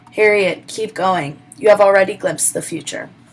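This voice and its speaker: A woman puts on a raspy character voice at a medium pitch. She speaks at a moderate pace. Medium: read story. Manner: gentle, reassuring.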